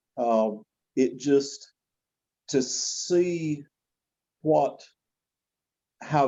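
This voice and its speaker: This man has a Southern US accent, a fairly high pitch and lively intonation. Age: 60s. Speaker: gospel quartet singer. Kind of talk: interview testimony.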